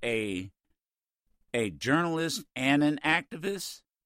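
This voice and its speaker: Speaking very slowly, a man lets his pitch swing very widely. The recording is very clean and dry, close with no echo, over a silent background. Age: old. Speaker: radio host. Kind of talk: interview. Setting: radio studio.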